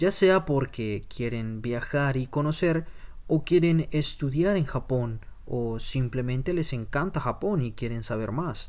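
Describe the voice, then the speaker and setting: A man's normal speaking voice, fairly high-pitched, at a fairly slow pace with lively intonation. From Colombia. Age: 20s. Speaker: podcast host. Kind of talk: podcast monologue.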